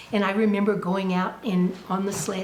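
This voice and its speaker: There is audible room echo and noticeable background noise as a woman with an American accent speaks at a medium pitch in a monotone, flat intonation. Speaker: oral history interviewee. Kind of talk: oral history interview.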